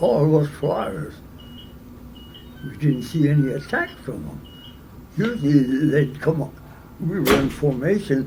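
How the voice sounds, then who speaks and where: A man with an American accent talks at a fairly slow pace and fairly high pitch, with ordinary pitch variation and long, frequent pauses. His loudness swings widely over noticeable background noise. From United States. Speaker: WWII B-17 bomber pilot, war veteran. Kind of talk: interview answer.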